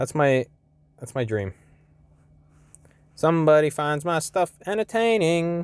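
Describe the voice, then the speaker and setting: In a dry, close sound with no echo, a man at fairly high pitch speaks at a fairly slow pace with lively intonation and long, frequent pauses. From Canada. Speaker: gaming youtuber. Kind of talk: gameplay commentary. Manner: casual, thinking aloud.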